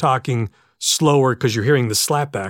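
In an ordinary speaking voice, a man with an American accent talks at medium pitch and a moderate pace, with ordinary pitch variation, in a dry, close sound with no echo on a very clean recording with a silent background. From western Pennsylvania. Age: 50s. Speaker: PA announcer. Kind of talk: casual chat. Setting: home studio.

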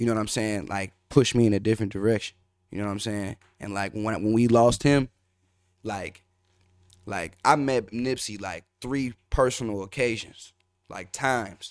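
Heard in a very clean recording with a silent background, a man with an American accent uses an ordinary speaking voice at a fairly low pitch, moving at a moderate pace with fairly even intonation and big swings in loudness. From Minneapolis north side, Minnesota. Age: 20s. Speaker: rapper. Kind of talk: casual interview chat. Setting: studio.

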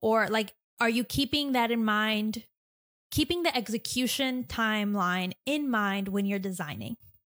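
A plain, everyday voice from a woman, fairly high in pitch and fairly slow, with very even loudness, dry, close sound with no echo, and a very clean recording with a silent background. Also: ordinary pitch variation. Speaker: podcast host and illustrator. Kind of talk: casual interview chat.

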